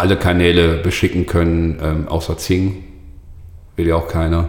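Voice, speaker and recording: A man speaks in a very deep, low voice with flat, monotone delivery. His pace is moderate, and there is noticeable noise in the background. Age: 40s. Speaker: social media agency owner. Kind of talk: casual interview. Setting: agency office.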